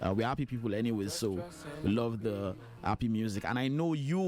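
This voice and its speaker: A fairly quick man's voice at medium pitch, with a Nigerian accent. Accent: Nigerian accent, unchanged. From Nigeria (Lagos, Yoruba). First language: Yoruba. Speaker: radio host. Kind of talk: radio interview.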